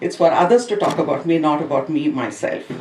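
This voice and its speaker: A woman talks fairly quickly with lively intonation, and background noise is noticeable. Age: 60s. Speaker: school educator and swimmer. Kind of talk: speech at an event.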